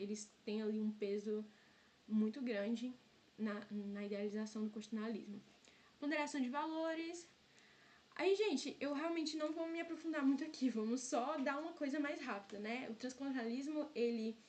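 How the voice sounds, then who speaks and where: Her high pitch and lively intonation come at a moderate pace as the woman talks. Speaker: student tutor leading exam review. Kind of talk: online review lecture.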